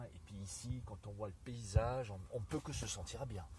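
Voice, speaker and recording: A man speaks at a fairly low pitch with ordinary pitch variation. Room echo is audible. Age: 50s. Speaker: motorbike traveller. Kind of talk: interview. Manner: soft-spoken.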